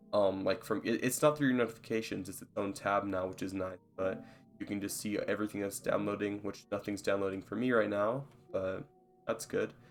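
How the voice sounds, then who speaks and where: A man with a fairly low pitch speaks at a fairly quick pace with fairly even intonation, music playing in the background. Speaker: gaming YouTuber. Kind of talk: tutorial. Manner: halting, with many fillers; casual.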